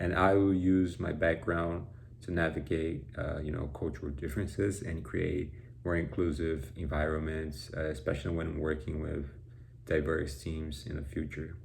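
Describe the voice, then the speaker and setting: In a Brazilian Portuguese accent, a man speaks at a very deep, low pitch with vocal fry, ordinary pitch variation and audible room echo. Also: moderate pace. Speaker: college student. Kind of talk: class presentation. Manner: halting, with fillers and repetitions.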